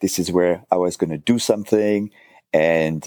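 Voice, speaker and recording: Dry and close with no echo, a man's very deep, low voice has a dark, mellow tone, fairly even intonation and a French accent. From south of France. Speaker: furniture restorer and author. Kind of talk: casual interview chat. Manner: hesitant, halting with fillers.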